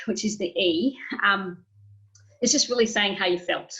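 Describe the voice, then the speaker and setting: With an Australian accent, a woman talks at a moderate pace, her intonation lively. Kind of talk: webinar presentation.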